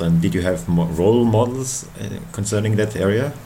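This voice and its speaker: A man with a German accent speaks at a moderate pace in a fairly low pitch, with audible room echo and noticeable background noise. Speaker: radio host. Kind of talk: interview.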